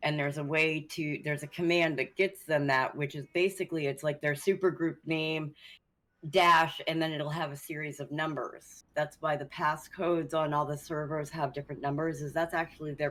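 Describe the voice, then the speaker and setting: On a very clean recording with a silent background, a woman with a very deep, low pitch speaks fairly quickly in a monotone, flat manner. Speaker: streamer. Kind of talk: casual chat.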